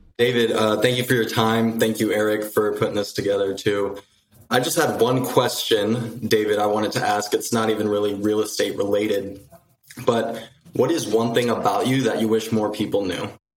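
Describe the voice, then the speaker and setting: The voice has fairly even intonation, with audible room echo. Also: man, medium pitch for a man, moderate pace. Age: 20s. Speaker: real estate agent. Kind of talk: live coaching call.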